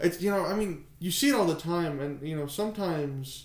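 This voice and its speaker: A man uses an ordinary speaking voice, with ordinary pitch variation, and moves along at a moderate pace. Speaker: podcast co-host. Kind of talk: casual chat. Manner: casual, jokey.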